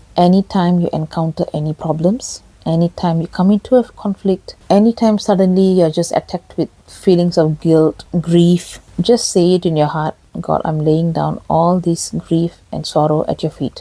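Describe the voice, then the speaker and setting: A woman speaks at a fairly low pitch in a dark, mellow tone. Her intonation is fairly even, and the sound is dry and close with no echo. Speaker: faith and relationship channel host. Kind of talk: spiritual teaching talk. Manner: slow.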